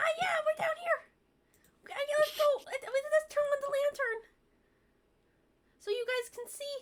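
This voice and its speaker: This put-on character voice is squeaky and extremely high-pitched. It moves at a moderate pace with long, frequent pauses. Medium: actual play.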